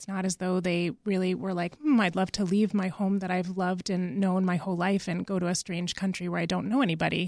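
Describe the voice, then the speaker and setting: A woman with an ordinary speaking voice speaks at a fairly quick pace, with hardly any pauses, in an American accent. Her pitch is medium and her intonation fairly even, on a very clean recording with a silent background. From Massachusetts, US. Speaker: clinician. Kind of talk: radio interview.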